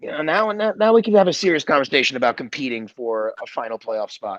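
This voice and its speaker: A loud man talks at a very fast pace with very wide pitch swings. The sound is dry and close, with no echo. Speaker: podcast host. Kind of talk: casual chat.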